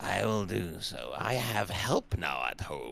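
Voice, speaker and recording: A man puts on a character voice and talks at a fairly slow pace, with clear background noise behind him. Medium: actual play. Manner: hesitant, stammering, formal.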